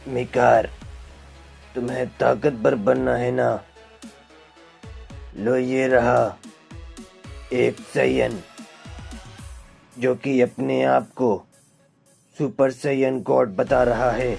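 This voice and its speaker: The speech has long, frequent pauses, with music in the background. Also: man. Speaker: fan manga narrator. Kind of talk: fan-made manga story narration. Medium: read story.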